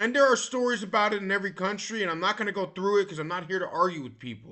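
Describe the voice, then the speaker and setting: Loud and animated in tone, a man speaks at a very fast pace with a high pitch for a man and ordinary pitch variation. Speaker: vlogger. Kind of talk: casual monologue. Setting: recorded at a computer.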